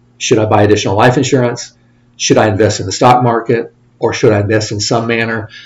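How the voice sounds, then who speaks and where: Speaking very fast, a man with a Midwestern American accent keeps a medium pitch and a monotone, flat intonation. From Indiana, US Midwest. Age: 50s. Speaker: financial advisor. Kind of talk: interview.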